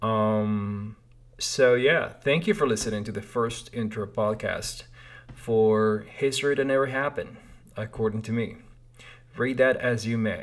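A man speaks with a Spanish accent at a fairly slow pace. His intonation is fairly even. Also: medium pitch for a man. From Peru (Lima). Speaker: podcast host. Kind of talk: casual monologue. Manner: hesitant, many fillers.

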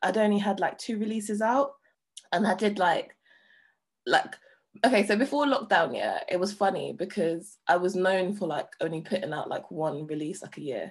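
Here a woman speaks with a London accent. Her medium-pitched voice has lively intonation. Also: moderate pace. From London, Hackney. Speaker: DJ and producer. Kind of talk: interview. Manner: casual, lots of filler words.

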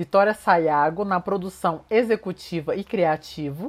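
Here is an ordinary speaking voice at a fairly slow pace. The recording is very clean, with a silent background. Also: woman. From Minas Gerais, Brazil (Uberlândia). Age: 20s. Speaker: fashion and beauty consultant, content creator. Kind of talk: scripted narration. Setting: home recording.

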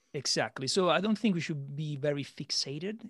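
With an Italian accent, a man speaks at a moderate pace and a fairly high pitch. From Italy. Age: 30s. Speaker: podcast host and sales manager. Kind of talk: casual interview. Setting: remote call.

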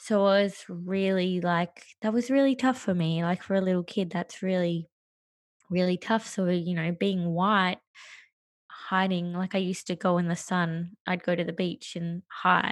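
In an Australian accent, a woman speaks at a fairly slow pace with a medium pitch and fairly even intonation. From Australia, Perth. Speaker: coach. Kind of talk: interview. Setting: remote call.

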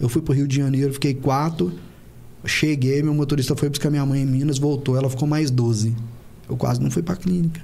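The voice is somewhat breathy with a dark, mellow tone, moving at a fairly quick pace with very even loudness and audible room echo. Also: man, fairly high pitch for a man. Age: 30s. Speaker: dentist and clinic owner. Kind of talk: podcast interview.

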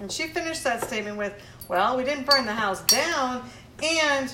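A woman with a high pitch speaks with lively intonation, with audible room echo and noticeable background noise around her. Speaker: art teacher. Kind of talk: casual chat.

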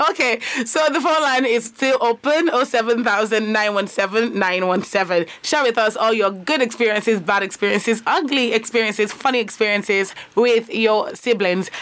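A woman's fairly high voice with ordinary pitch variation, very even loudness and hardly any pauses, over noticeable background noise. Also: fairly slow pace. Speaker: radio host. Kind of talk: radio talk show with call-ins. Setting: radio studio. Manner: animated.

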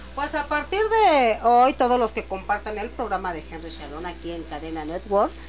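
The speech moves at a moderate pace with hardly any pauses and big swings in loudness. Noticeable background noise runs underneath. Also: woman. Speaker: hair stylist and massage therapist. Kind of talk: casual chat.

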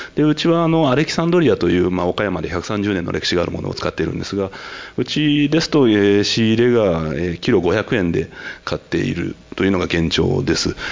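A man speaks at a fairly low pitch with very wide pitch swings. His pace is fairly quick. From Tokyo. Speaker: winemaker. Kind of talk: panel discussion.

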